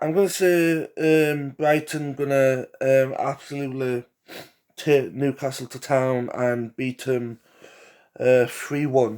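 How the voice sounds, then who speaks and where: A man with an English accent, very slow pace and fairly even intonation. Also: medium pitch for a man. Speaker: football predictions youtuber. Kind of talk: casual solo commentary. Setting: home living room. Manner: hesitant, many fillers.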